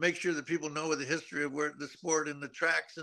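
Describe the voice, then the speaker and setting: The man's tone is bright and sharp, set against a quiet background. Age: 70s. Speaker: retired motocross racer and riding teacher. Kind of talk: interview. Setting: remote link to studio.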